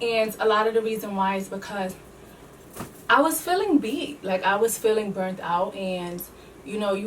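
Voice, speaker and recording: Heard over noticeable background noise, the speaker talks at a moderate pace with a New York accent, ordinary pitch variation and big swings in loudness. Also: woman. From New York City. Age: 20s. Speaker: beauty entrepreneur and teacher. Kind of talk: casual talk to camera.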